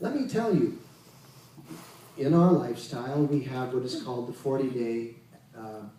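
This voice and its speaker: With big swings in loudness and long, frequent pauses, a man with a medium-pitched voice speaks at a moderate pace in a room with audible echo. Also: ordinary pitch variation. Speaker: Kundalini yoga teacher. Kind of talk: spiritual lecture.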